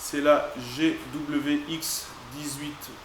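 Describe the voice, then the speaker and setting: The man's pitch is fairly high. Noticeable background noise and audible room echo fill the recording. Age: 20s. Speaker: cabinetmaker reviewing tools. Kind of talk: product review tutorial. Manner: hesitant, frequent filler sounds.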